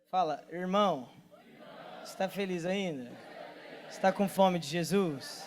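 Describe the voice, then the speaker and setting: A man speaks at a fairly slow pace in a high pitch, with ordinary pitch variation and big swings in loudness. Long, frequent pauses break up his speech, and crowd noise sits in the background. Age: 20s. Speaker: pastor and worship leader. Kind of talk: sermon. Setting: church stage with audience. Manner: casual, joking.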